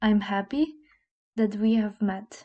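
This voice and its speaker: Fairly high-pitched yet dark and mellow in tone, a woman with a Slovene accent speaks somewhat breathily at a fairly slow pace. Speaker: language teacher. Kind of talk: tutorial.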